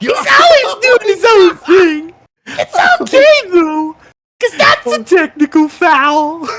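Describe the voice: A put-on character voice at an extremely high pitch delivers the lines at a fairly slow pace.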